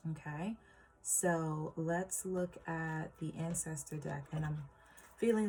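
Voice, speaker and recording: The voice is somewhat breathy, with fairly even intonation. It moves at a very slow pace. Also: woman. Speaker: tarot reader. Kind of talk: tarot reading for viewers. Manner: hesitant, many fillers.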